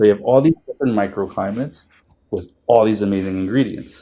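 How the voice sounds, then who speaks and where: This speaker has a New Jersey accent and a dark, mellow tone. The pace is moderate, with ordinary pitch variation. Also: man. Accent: New Jersey American. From northern New Jersey, US. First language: Spanish and Italian. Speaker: chef. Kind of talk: casual interview chat.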